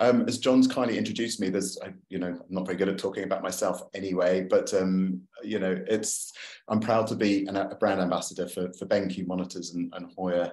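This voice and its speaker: A man's fairly low, flat monotone in a London accent, at a fairly quick pace. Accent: British (London). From London, England. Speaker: photographer and author giving a talk. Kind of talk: presentation to a club. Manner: hesitant, many fillers.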